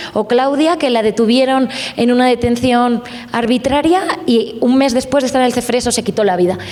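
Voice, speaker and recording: A woman speaks at a high pitch with a Spanish accent, at a moderate pace and with ordinary pitch variation. Her loudness stays very even over noticeable background noise. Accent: Spanish (Spain). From Spain. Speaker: journalist. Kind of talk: panel discussion.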